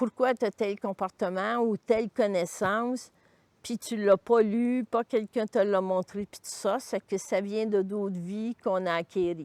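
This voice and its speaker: A woman with a Quebec accent at medium pitch, fairly even intonation but big swings in loudness, in a dry, close sound with no echo. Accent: Québécois French. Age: 70s. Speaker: retired cancer-care worker. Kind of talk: personal testimony interview. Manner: halting, with fillers.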